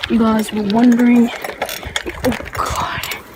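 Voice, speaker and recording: A woman's high-pitched voice in an Australian accent, monotone and flat in intonation, over noticeable background noise. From Australia, Tasmania. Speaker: beginner bike vlogger. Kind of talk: casual vlog while riding. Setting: outdoors on a bike.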